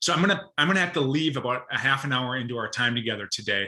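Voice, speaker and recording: At a very fast pace, a man with a Minnesotan accent speaks at a medium pitch. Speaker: state broadband policy advisor. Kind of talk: presentation to professional group. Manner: fast talker; hesitant fillers.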